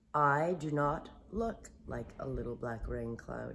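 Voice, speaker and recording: A woman uses a put-on character voice with a very deep, low pitch. She speaks at a fairly slow pace. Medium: read story. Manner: gentle, slow, simple.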